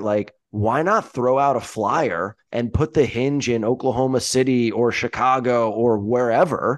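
In a quiet background, a man with an unremarkable speaking voice talks at medium pitch, with ordinary pitch variation and hardly any pauses. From US Northeast. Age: 30s. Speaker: podcast host. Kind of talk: casual chat.

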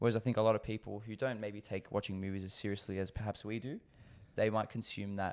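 Very fast and in a monotone, flat intonation, a man with an Australian accent and a fairly low pitch is heard in a very clean recording with a silent background. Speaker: podcast co-host. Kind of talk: casual chat.

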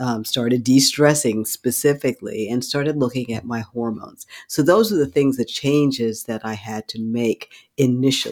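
A normal speaking voice from a man at a moderate pace, with ordinary pitch variation and a dry, close sound with no echo. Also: medium pitch for a man. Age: 60s. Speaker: physician. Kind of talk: interview.

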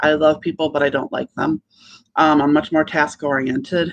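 This woman talks in a very deep, low pitch with an American accent. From US, Buffalo, New York. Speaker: entrepreneur and business coach. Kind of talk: podcast interview.

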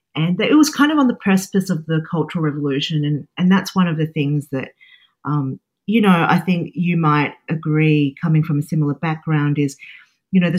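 The voice is somewhat breathy. It moves at a moderate pace. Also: woman. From Australia, Sydney. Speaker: cookbook author. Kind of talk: interview conversation. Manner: hesitant, many fillers.

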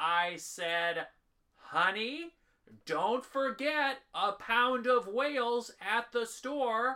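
A put-on character voice, female-sounding. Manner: insistent, pedantic.

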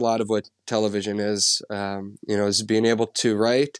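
A man with an Upper Midwest accent talks at a moderate pace and fairly low pitch in a monotone, flat intonation. The sound is dry and close, with no echo. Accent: Upper Midwest (Minnesota). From central Minnesota. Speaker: outdoor TV show host and producer. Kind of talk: podcast interview.

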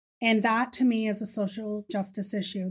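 A woman speaks at a moderate pace in a fairly high voice, recorded very cleanly against a silent background. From Ireland. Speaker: fitness business founder and educator. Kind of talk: interview. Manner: loud.

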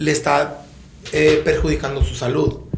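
A man talks at a moderate pace, his voice carrying audible room echo over noticeable background noise. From Sonora, Mexico (Empalme; school in Tijuana). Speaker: podcast host. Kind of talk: casual chat.

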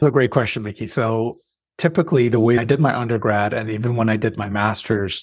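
Here is a man with a Canadian accent and an ordinary speaking voice at medium pitch. The recording is very clean, with a silent background. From Saudi Arabia, moved young to Toronto area. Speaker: healthcare consultant and professor. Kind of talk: interview. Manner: articulate.

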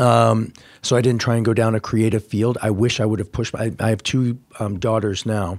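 The speaker has an American accent and talks at a fairly quick pace with monotone, flat intonation. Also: man, medium pitch for a man, very clean recording, silent background. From US Midwest (Indiana). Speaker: street style photographer. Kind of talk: interview conversation. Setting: office.

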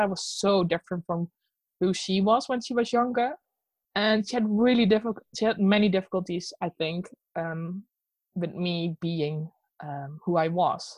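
A woman with a Dutch accent speaks at a medium pitch and a moderate pace with ordinary pitch variation, in a dry, close sound with no echo. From Netherlands. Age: 30s. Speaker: illustrator. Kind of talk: casual interview chat.

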